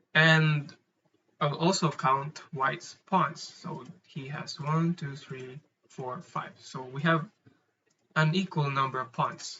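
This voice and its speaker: A man with a non-native accent at a very slow pace, with long, frequent pauses, big swings in loudness and fairly even intonation. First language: not English. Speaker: amateur chess player explaining puzzles. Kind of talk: tutorial. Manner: halting, with frequent fillers and repeats.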